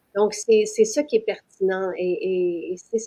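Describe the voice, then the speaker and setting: In a Quebec accent, the speaker talks at a moderate pace with a dark, mellow tone and a dry, close sound with no echo. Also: woman. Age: 60s. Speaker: business owner presenting her products. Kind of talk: live-stream sales pitch. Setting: live stream. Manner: hesitant, many fillers.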